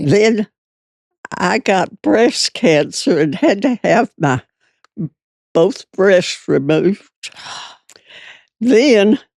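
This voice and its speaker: A woman at medium pitch speaks very slowly, with long, frequent pauses and very wide pitch swings. Her voice has vocal fry, her loudness stays very even, and the sound is dry and close with no echo. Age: 80s+. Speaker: retired dress shop owner. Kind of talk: interview answer.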